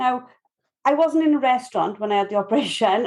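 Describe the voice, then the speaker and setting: A woman's fairly high voice with a Welsh accent and lively intonation. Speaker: podcast host. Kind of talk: podcast interview.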